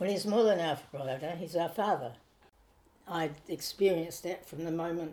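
A woman speaks at a fairly low pitch with a dark, mellow tone. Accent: New Zealand. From New Zealand, Nelson. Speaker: retired missionary midwife. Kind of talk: interview. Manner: halting.

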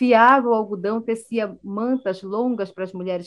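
A woman with a normal speaking voice talks at a fairly slow pace, her fairly high pitch showing ordinary variation. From Brazilian Amazon, Amazonas. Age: 40s. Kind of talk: interview.

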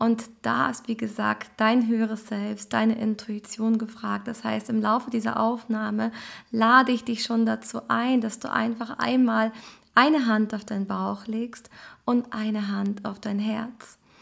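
A woman with a normal speaking voice, fairly high in pitch, at a fairly slow pace with fairly even intonation. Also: very clean recording, silent background. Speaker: astrologer and transformation coach. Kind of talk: guided meditation; recorded astrology message. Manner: calm, slow, soothing.

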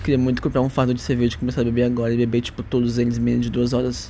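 Speaking at a very fast pace, a man uses a voice of medium pitch. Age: 20s. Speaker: vlogger. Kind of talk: personal monologue. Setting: at home. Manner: casual.

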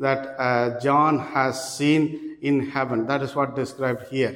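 A man with an Indian accent, talking at a fairly slow pace with fairly even intonation. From South India.

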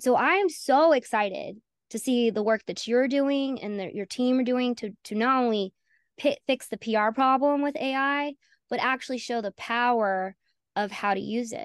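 A woman talks at a moderate pace with a high pitch and ordinary pitch variation. The sound is dry and close with no echo, over a quiet background. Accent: Southern US. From North Carolina, US South. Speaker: AI consultant, founder. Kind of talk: interview conversation.

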